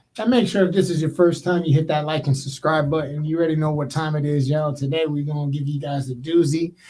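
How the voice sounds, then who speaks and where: Speaking at a very fast pace with hardly any pauses, a man has a fairly high pitch. His tone is dark and mellow and somewhat breathy. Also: fairly even intonation. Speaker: podcast host. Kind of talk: casual chat. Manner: subdued, low energy.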